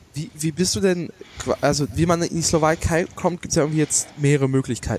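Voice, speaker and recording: A normal speaking voice from a man, fairly high in pitch, with ordinary pitch variation and a fairly quick pace. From Germany. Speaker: podcast host. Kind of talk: casual chat.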